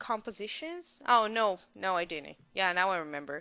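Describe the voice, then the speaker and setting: A woman with a non-native accent speaks at a medium pitch in a bright, sharp tone. The background is quiet. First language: not English. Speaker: gaming video creator. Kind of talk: voice-over commentary on a speed build. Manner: hesitant, many fillers.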